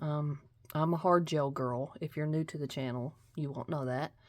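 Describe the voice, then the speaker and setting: A woman with a Kentucky accent is heard in a very clean recording with a silent background. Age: 40s. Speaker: nail art youtuber. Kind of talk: casual haul video talk. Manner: casual, hesitant with fillers.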